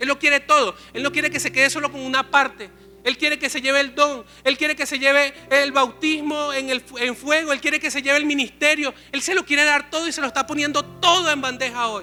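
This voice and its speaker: In a raised, projected voice, a man with an extremely high pitch and a bright, sharp tone speaks at a fairly quick pace. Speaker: pastor. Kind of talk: sermon. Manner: fast; animated.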